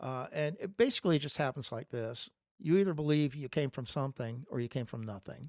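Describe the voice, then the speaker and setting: With a plain, everyday voice, a man talks at a fairly quick pace and fairly high pitch with lively intonation, in a very clean recording with a silent background. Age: 60s. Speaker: podcast talk show host. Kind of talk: religious talk; casual chat.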